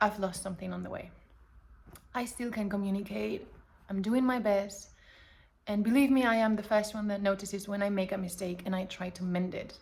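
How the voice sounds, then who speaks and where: With long, frequent pauses and audible room echo, a woman talks at a fairly quick pace in a somewhat breathy voice of medium pitch and fairly even intonation. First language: not English. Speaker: personal vlogger. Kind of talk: casual monologue to camera. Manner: halting, self-correcting.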